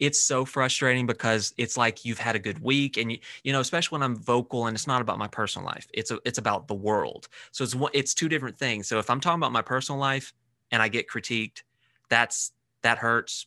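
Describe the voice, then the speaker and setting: Very fast and fairly even in intonation, a man speaks with an American accent and a bright, sharp tone. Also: dry, close sound with no echo, quiet background. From US South. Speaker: social media personality. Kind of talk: casual chat.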